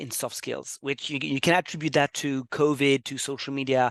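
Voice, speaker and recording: With a French accent, a man speaks at a fairly high pitch. The sound is dry and close with no echo, over a quiet background. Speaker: webinar host. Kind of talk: webinar presentation. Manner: fast; hesitant, many fillers.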